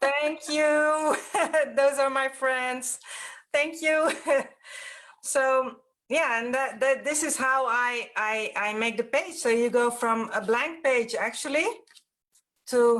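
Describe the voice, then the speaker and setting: A woman with a Dutch accent speaks at a very slow pace with long, frequent pauses, her pitch high and her pitch variation ordinary. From Netherlands. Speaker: mixed-media artist and workshop teacher. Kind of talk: live stream interview. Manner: halting.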